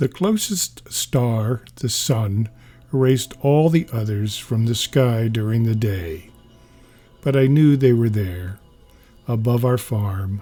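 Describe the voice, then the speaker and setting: With music in the background, a medium-pitched man speaks very slowly with ordinary pitch variation. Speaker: comics reader / narrator. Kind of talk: reading a comic aloud, casual humorous narration.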